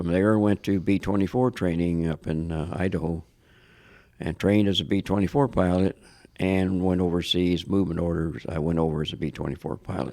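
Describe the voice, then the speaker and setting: In a very clean recording with a silent background, a man with an American accent speaks at a fairly quick pace, his very deep, low pitch and dark, mellow tone held to fairly even intonation. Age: 80s+. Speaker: war veteran. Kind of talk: interview. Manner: halting.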